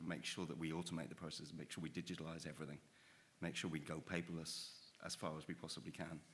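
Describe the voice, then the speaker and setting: A man with a very deep, low pitch talks at a very fast pace in a monotone, flat intonation, with audible room echo. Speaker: rail infrastructure expert. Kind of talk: panel discussion. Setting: stage with audience.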